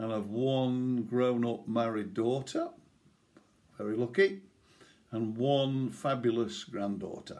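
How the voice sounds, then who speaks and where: With an East Midlands accent, the speaker goes at a very slow pace, pausing long and often, with ordinary pitch variation. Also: man, medium pitch for a man. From England, East Midlands (Nottinghamshire). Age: 60s. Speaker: retired police officer and swimming club chairman. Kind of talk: personal reminiscence. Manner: casual with filler hesitations.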